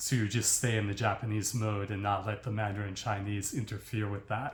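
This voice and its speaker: Speaking at a moderate pace with an American accent, a man's fairly low, somewhat breathy voice stays monotone and flat. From United States. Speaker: language learning vlogger. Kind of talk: casual monologue. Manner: hesitant, with fillers.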